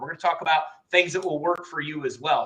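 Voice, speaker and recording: Pitched high, a man rattles along at a very fast pace. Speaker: business funding trainer. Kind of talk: live webinar training.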